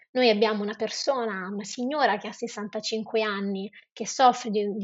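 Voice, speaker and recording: A woman with a fairly high pitch talks at a moderate pace in an ordinary speaking voice. Her intonation is fairly even. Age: 20s. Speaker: non-profit founder. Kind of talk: interview.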